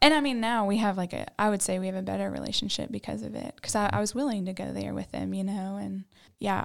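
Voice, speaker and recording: Very fast speech comes from a woman with a Southern US accent in a very clean recording with a silent background. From Tennessee, Knoxville. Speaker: church member, new podcast co-host. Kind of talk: casual chat, personal testimony.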